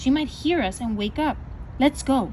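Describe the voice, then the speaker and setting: A woman does a put-on character voice at a high pitch and a moderate pace. Background noise is clearly heard. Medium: read story. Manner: careful.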